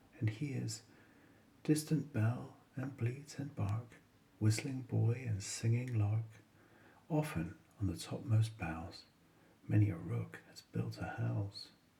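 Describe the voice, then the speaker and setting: A man with a medium pitch and a dark, mellow, calm tone talks very slowly and somewhat breathily, his intonation lively, with long, frequent pauses. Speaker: bedtime story reader. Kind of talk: bedtime poetry reading. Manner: smooth, soothing.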